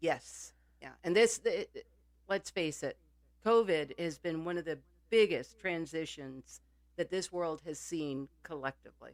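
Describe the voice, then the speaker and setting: A woman speaks with a plain, everyday voice at a fairly low pitch and a fairly slow pace. Her loudness rises and falls sharply. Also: ordinary pitch variation. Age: 60s. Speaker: podcast co-host. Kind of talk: casual chat.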